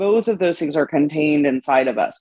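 A woman with a plain, everyday voice, fairly low in pitch with ordinary pitch variation, is heard in a dry, close sound with no echo. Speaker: podcast host. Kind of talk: casual interview chat.

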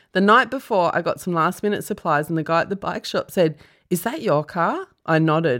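The speaker is a woman with fairly low pitch. Her pace is moderate. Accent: Australian. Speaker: comedian and podcast host. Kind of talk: casual chat. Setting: studio.

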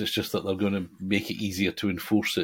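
With an English accent, a man talks at a very fast pace. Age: 60s. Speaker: podcast co-host, slot car hobbyist. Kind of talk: casual chat.

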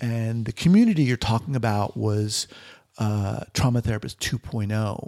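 In a very clean recording with a silent background, a man with an American accent has an ordinary speaking voice and a dry, close sound with no echo. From New York. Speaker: psychologist and podcast host. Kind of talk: interview.

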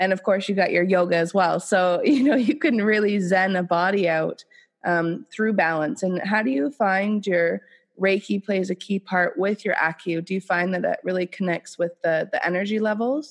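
A woman's unremarkable speaking voice at medium pitch, with ordinary pitch variation, a moderate pace and a quiet background. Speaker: podcast host. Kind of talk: casual podcast interview. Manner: upbeat.

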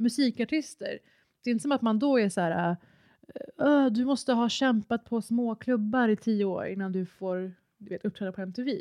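A woman's fairly high, dark, mellow voice with ordinary pitch variation at a moderate pace, in a dry, close sound with no echo. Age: 30s. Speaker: podcast guest co-host. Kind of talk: casual chat.

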